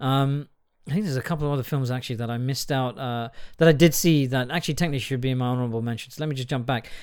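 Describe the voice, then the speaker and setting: Recorded very cleanly against a silent background, a man with an English accent speaks at a very fast pace in a medium pitch with ordinary pitch variation. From England. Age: 40s. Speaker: podcast host. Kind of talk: casual film review monologue. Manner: rambling, hesitant with many fillers.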